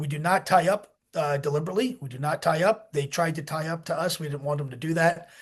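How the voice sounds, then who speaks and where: A man with an American accent, fairly high in pitch and animated in tone, at a fairly quick pace over a quiet background. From United States. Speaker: military veteran and rescue operator. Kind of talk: interview storytelling. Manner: animated, halting with many fillers.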